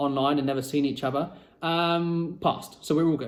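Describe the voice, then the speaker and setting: Fairly high-pitched for a man, he speaks at a moderate pace with monotone, flat intonation. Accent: British. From Britain. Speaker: vlogger. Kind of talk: personal storytelling vlog. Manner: casual, conversational with fillers.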